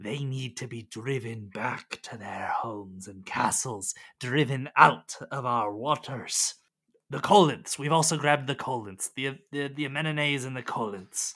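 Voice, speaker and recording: A man puts on a character voice, talking at a moderate pace and medium pitch. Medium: actual play. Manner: snarling, halting speech.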